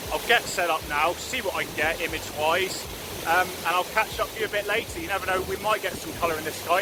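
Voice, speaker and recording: Noticeable background noise sits under speech that moves fairly quickly. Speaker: landscape photography vlogger. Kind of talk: vlog narration to camera. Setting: outdoors on a mountain. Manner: shouting.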